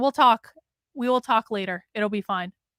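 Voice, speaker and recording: Speaking at a fairly quick pace, a woman uses a Vermont accent and a fairly high pitch. Her tone is animated, and the sound is dry and close with no echo. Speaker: political commentator streamer. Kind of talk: casual live stream commentary.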